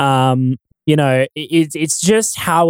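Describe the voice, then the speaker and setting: A man with an Australian accent, in a dry, close sound with no echo. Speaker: YouTube commentator and audio expert. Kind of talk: casual chat.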